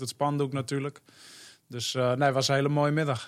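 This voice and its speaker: This man's voice sits at a fairly high pitch. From North Holland, Hoofddorp. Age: 20s. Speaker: professional footballer. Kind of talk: interview.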